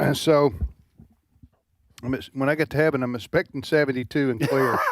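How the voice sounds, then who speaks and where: At a fairly quick pace, a man talks with a fairly high pitch and fairly even intonation. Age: 60s. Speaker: radio talk show host. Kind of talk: casual chat. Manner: halting, many restarts.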